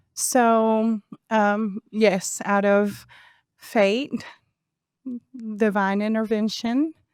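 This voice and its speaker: At a very slow pace, a woman with a Spanish accent speaks at a fairly high pitch, with long, frequent pauses. Her intonation is fairly even. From Venezuela, Caracas. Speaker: podcast guest. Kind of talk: interview.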